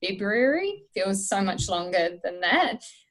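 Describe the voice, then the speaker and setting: A woman at medium pitch with a New Zealand accent, talking at a fairly slow pace. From New Zealand, small town. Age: 30s. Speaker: strength and conditioning coach. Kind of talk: podcast interview, casual chat. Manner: lots of fillers (um, uh).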